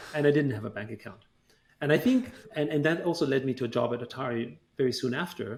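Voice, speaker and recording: A man talks at a very fast pace with a German accent. His pitch varies in an ordinary way. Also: medium pitch for a man. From Austria, Vienna. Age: 40s. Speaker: tech company chairman. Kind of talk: interview.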